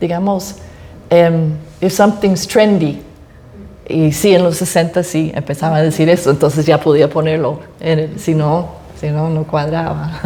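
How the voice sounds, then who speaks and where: A woman's fairly low voice with an English accent and fairly even intonation, at a fairly slow pace with long, frequent pauses. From United States. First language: English (speaking Spanish). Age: old. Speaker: author. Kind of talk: interview at book presentation. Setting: library event with audience.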